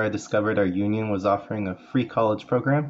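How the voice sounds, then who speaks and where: Over light background noise, a man speaks in a fairly low pitch with a Californian accent. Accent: Californian American English. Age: 40s. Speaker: paraeducator and community college student. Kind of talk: class self-introduction speech. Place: home room. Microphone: phone near.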